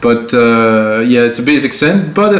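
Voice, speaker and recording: A man with a French Canadian accent speaks at a fairly slow pace with lively intonation. Room echo is audible. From Quebec. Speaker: music producer. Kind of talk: tutorial. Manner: casual. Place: studio.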